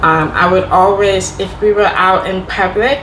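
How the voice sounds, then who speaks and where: With noticeable background noise and audible room echo, a woman speaks at a fairly slow pace with fairly even intonation. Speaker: Deaf vlogger sharing personal experience. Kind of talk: casual Q&A monologue.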